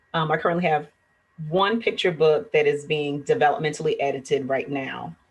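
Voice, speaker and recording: A woman's somewhat breathy, very deep, low voice with ordinary pitch variation. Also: fairly quick pace. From South Carolina Lowcountry (Beaufort). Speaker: children's book author. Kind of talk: interview. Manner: halting, many fillers.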